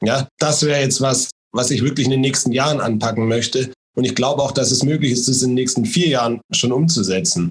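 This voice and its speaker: A man of medium pitch speaks at a fairly quick pace, somewhat breathy and very even in loudness, with a dry, close sound and no echo. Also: ordinary pitch variation. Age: 30s. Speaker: local politician and mayoral candidate. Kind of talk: interview. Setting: online call.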